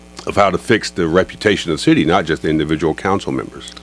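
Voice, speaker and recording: With a Southern US accent, a man talks at a fairly quick pace in a very deep, low pitch with ordinary pitch variation, amid noticeable background noise. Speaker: reporter. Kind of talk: panel questioning.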